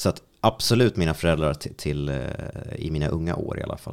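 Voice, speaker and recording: His voice sits very deep and low. The man's pitch shifts in an ordinary way. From Sweden, Strängnäs. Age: 30s. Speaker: radio host. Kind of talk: casual interview. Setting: studio.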